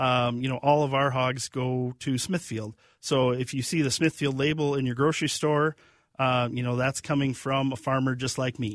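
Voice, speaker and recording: In a very clean recording with a silent background, a man with an Upper Midwest accent speaks at medium pitch and a moderate pace in a monotone, flat intonation. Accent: Upper Midwest (Minnesota). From Minnesota, Kenyon area. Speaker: pig farmer. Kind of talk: casual interview. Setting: studio.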